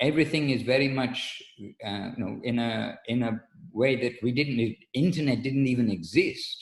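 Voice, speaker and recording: This man talks at a moderate pace with a medium pitch. His voice is somewhat breathy, with ordinary pitch variation. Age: 60s. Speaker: spiritual teacher. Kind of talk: religious lecture. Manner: halting.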